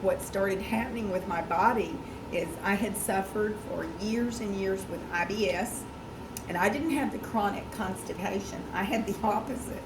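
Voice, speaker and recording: Against noticeable background noise and audible room echo, a woman talks at a moderate pace and medium pitch with ordinary pitch variation. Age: 60s. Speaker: product ambassador giving testimonial. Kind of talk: testimony. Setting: meeting with audience.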